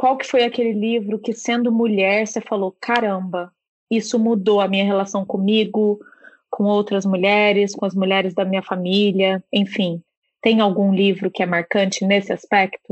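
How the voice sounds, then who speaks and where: Her pitch sits in the medium range. This woman's intonation stays monotone and flat. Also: moderate pace. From Brazil, Minas Gerais. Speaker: book podcast co-host. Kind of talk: casual interview chat.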